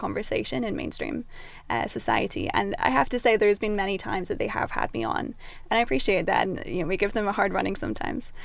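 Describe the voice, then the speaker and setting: This woman has a Scottish accent. Her pace is fairly quick. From Scotland. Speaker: activist and commentator. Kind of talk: podcast interview.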